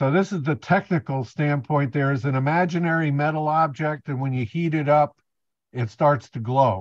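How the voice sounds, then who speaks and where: A man speaks at a moderate pace with ordinary pitch variation. The sound is dry with no echo, and the background is quiet. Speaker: presenter. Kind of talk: lecture. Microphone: video call.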